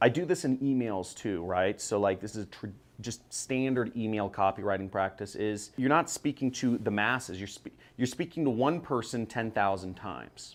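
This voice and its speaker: At a medium pitch with ordinary pitch variation, a man talks with an American accent. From California. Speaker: online marketing coach. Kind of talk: talking-head tutorial. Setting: filming with a person behind the camera. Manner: fast.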